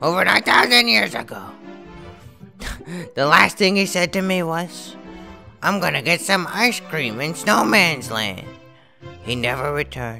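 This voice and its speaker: A man uses a put-on character voice at a fairly high pitch and a moderate pace. Long, frequent pauses break it up, with faint music in the background. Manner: sad, wistful.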